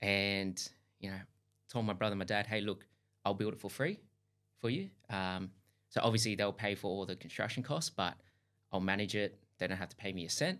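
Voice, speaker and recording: A man with an Australian accent speaks at a fairly quick pace in a fairly low pitch, leaving long, frequent pauses. The recording is very clean with a silent background. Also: fairly even intonation. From Australia, Sydney (Hills District). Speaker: duplex builder, company founder. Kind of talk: podcast interview.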